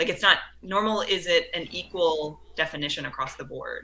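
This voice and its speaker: A woman with an American accent speaks at a fairly slow pace. Her intonation stays fairly even. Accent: lacks a Southern. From US South, Mississippi Gulf Coast. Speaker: author and speaker. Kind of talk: interview conversation.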